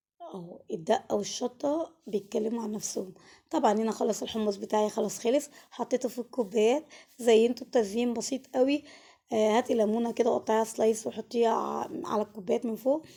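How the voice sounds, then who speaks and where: A woman's fairly high voice, dark and mellow in tone, at a moderate pace. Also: ordinary pitch variation. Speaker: cooking channel host. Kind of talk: cooking tutorial. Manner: casual, chatty.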